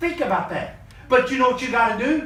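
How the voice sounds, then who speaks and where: The voice moves at a fairly quick pace with ordinary pitch variation. Noticeable background noise and audible room echo are present. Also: man. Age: 50s. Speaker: motivational business mentor. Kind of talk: motivational talk on a group call. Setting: video call. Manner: animated.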